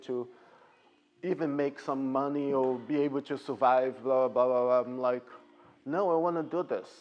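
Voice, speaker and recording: The man's intonation is fairly even. He has a fairly high pitch and a Portuguese accent. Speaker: ballet teacher. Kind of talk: Q&A with parents.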